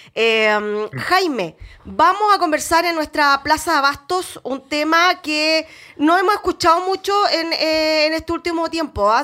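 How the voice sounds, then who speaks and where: A woman's raised, projected voice at an extremely high pitch, bright and sharp in tone, with lively intonation and a fairly slow pace. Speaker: radio host. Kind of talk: radio interview.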